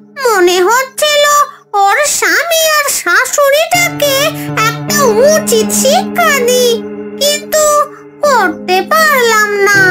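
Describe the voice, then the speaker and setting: A cartoonish, female-sounding character voice, squeaky and extremely high in pitch, at a very slow pace over clear background music. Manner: rough, familiar address using the informal 'tui'.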